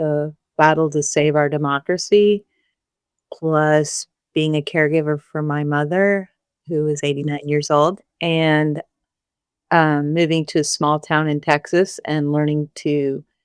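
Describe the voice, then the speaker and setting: A woman's very deep, low voice in a monotone, flat delivery. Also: fairly slow pace, dry, close sound with no echo. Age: 60s. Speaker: singer-songwriter. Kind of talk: podcast interview. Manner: hesitant, many fillers.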